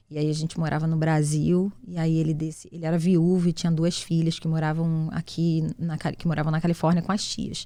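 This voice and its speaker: A woman's fairly low, dark, mellow voice in a Carioca accent, monotone and flat, at a fairly quick pace with hardly any pauses. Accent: carioca, hissing s. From Rio de Janeiro, Brazil. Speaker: entrepreneur, CEO. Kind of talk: interview, casual chat.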